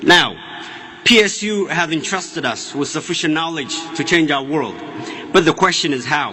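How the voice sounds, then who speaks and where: Over noticeable background noise and audible room echo, a man with an Ethiopian accent speaks at a moderate pace and a high pitch with ordinary pitch variation, leaving long, frequent pauses. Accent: Ethiopian (Oromo) accent in English. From Ethiopia (Oromia). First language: Afaan Oromo. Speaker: student speaker. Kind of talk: commencement speech. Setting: stage with audience. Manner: formal.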